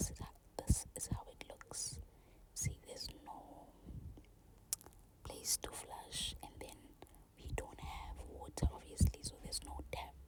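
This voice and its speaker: A woman whispers in a gentle tone at a fairly slow pace, with long, frequent pauses. Her loudness swings widely over noticeable background noise. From South Africa, Eastern Cape. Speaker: ASMR creator. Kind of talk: casual talk to camera, voiceover. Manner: soft-spoken, gentle.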